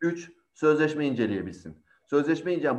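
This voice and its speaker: This man talks with a fairly high pitch and ordinary pitch variation. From Izmir, Turkey. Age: 40s. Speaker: in-house lawyer. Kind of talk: panel talk.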